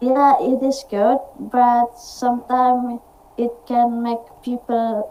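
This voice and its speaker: A woman speaks very slowly in an Indonesian accent, her fairly high pitch carrying a dark, mellow tone. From Indonesia, Java. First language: Indonesian or Javanese. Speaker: university student, meeting participant. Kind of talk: online conversation practice. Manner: halting, hesitant.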